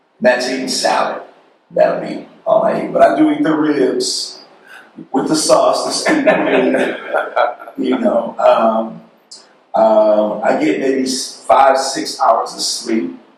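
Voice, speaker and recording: A man speaks very slowly, with audible room echo. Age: 50s. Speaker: radio executive. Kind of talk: panel discussion.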